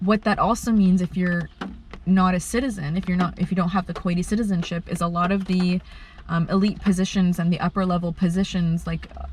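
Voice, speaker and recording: A woman's somewhat breathy, fairly low voice at a moderate pace, with long, frequent pauses. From Kuwait. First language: Arabic. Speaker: bioartist. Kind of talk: interview. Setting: in a car. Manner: halting, many fillers.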